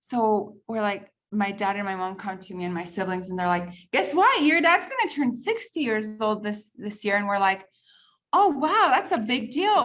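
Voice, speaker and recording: A woman with a plain, everyday voice and a fairly high pitch speaks with lively intonation at a moderate pace. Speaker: podcast host. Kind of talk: casual chat.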